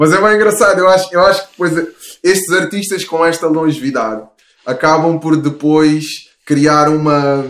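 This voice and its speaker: A man's normal speaking voice, fairly high in pitch, with ordinary pitch variation, very even loudness and a moderate pace. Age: 30s. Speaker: rapper. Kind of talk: casual chat. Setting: home studio, remote call. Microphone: picking up host's voice without headphones.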